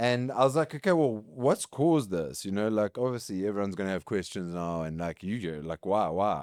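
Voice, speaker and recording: A man with a South African accent, fairly low-pitched, with very wide pitch swings and a fairly quick pace, hardly any pauses, dry, close sound with no echo, very clean recording against a silent background. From South Africa, KwaZulu-Natal. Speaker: competitive hybrid athlete and business executive. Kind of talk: casual chat.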